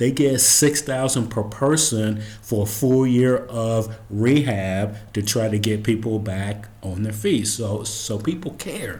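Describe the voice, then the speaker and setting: A man speaks at a very slow pace with hardly any pauses, his medium-pitched voice somewhat breathy. His pitch varies in an ordinary way, and the room echo is audible. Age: 60s. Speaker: commentary podcast host. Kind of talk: solo commentary monologue.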